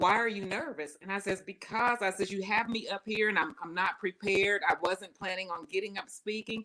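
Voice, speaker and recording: The speaker talks at a fairly quick pace with hardly any pauses, in a Southern US accent. Pitch variation is ordinary. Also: woman, medium pitch for a woman. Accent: Southern US twang, often taken for Texas. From not from the US South. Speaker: personal success speaker and coach. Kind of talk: interview conversation. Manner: talkative.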